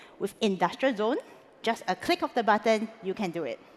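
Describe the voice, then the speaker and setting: A woman with a Singaporean accent speaks at a fairly high pitch. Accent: Singlish. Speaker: conference speaker. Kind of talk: conference talk. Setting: stage with audience.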